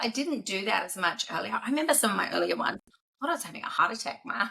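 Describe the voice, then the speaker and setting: A woman's bright, sharp voice with vocal fry and a New Zealand accent. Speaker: business executive. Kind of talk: podcast interview. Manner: fast.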